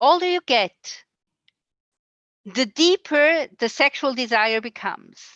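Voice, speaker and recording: Against a quiet background, a woman with a high pitch and a bright, sharp tone speaks very slowly with lively intonation, the sound dry and close with no echo. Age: 60s. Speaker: community member and speaker. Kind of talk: interpreted talk. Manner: halting.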